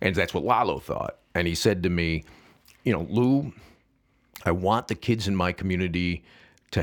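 This man speaks with an American accent in a very deep, low voice, his intonation lively and touched with vocal fry. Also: very clean recording, silent background. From US Midwest, Saint Charles, Illinois. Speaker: nonprofit founder and agave advocate. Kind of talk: casual chat. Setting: studio.

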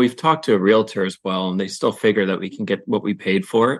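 A man talks at a fairly quick pace in a fairly low voice against a quiet background. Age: 30s. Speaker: guest couple seeking financial advice. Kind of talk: casual chat.

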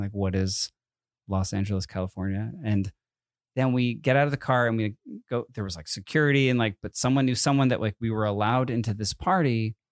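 At a very fast pace, a man with a slight East Coast accent speaks at a fairly low pitch with ordinary pitch variation, in a dry, close sound with no echo on a very clean recording with a silent background. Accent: slight East Coast, tri-state. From US East Coast, Connecticut. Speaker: podcast host. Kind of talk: casual chat. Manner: long pauses mid-sentence.

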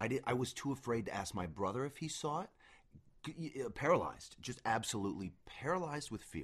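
Against a quiet background, a man of medium pitch talks very fast with vocal fry and an American accent. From Denver, US. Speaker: actor and podcast co-host. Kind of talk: casual chat.

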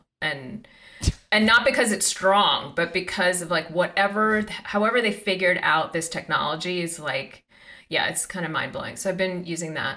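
A woman with a plain, everyday voice speaks at a moderate pace and medium pitch, with ordinary pitch variation. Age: 50s. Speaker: meditation teacher. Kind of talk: casual chat.

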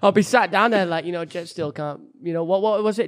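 This man speaks at a high pitch with ordinary pitch variation. His pace is fairly quick. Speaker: YouTuber and podcast co-host. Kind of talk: casual chat. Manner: animated.

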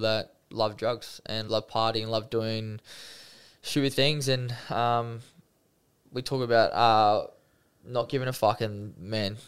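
Over a silent background in a very clean recording, a man with an Australian accent speaks at a medium pitch in a monotone, flat intonation. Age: 20s. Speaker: professional rugby league player. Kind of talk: interview, personal testimony. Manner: casual, with frequent fillers.

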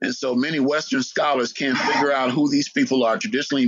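A man speaks with an American accent at a fairly quick pace. His pitch is fairly high, with ordinary variation, in a normal speaking voice. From United States. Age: 60s. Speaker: historian. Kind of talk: interview.

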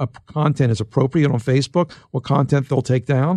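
A man talks at a moderate pace with a fairly high pitch and a somewhat breathy, dark, mellow tone. The sound is dry and close, with no echo. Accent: American. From US Northeast, Philadelphia. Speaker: tech journalist and author. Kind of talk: interview.

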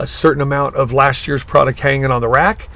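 This man speaks with a Southern Californian accent. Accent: Southern California American. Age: 70s. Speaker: surf shop owner. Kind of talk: interview. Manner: animated.

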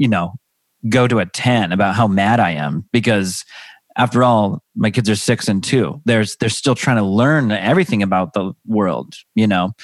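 A man with an American accent has a plain, everyday voice at a fairly low pitch, with ordinary pitch variation, a moderate pace and very even loudness. The recording is very clean, with a silent background and a dry, close sound with no echo. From US Pacific Northwest, Seattle area. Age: 30s. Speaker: comedian and stay-at-home dad. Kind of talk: casual chat.

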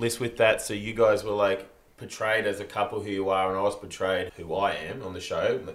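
Noticeable background noise runs behind a man who speaks at a fairly quick pace. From South Africa. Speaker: reality TV contestant, friend of hosts. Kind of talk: casual chat.

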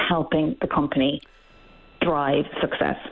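A woman in an Irish accent, passionate in tone, at a fairly slow pace over noticeable background noise. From Ireland. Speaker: workplace policy director. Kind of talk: radio interview. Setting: phone call.

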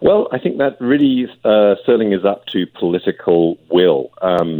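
The speaker is a man with a British accent. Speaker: family doctor. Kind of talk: radio interview.

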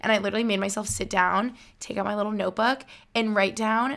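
With an American accent, a woman speaks fairly quickly at a medium pitch with fairly even intonation in a plain, everyday voice, captured on a very clean recording with a silent background. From upstate New York. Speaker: YouTuber and podcaster. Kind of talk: casual chat.

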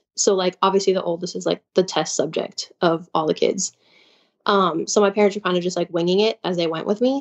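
At a fairly quick pace, the speaker uses fairly even intonation and has an unremarkable speaking voice with an American accent. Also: woman, medium pitch for a woman. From Chicago. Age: 20s. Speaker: caller. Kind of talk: personal story on a call-in show.

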